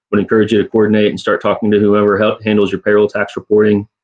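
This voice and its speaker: A man speaks with a fairly low pitch. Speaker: tax advisor panelist. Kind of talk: webinar panel presentation. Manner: fast.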